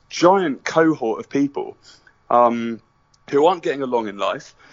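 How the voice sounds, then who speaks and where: A man talks with a British accent. His pitch is medium and his pace moderate. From Britain. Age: 30s. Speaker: documentary filmmaker. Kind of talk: interview.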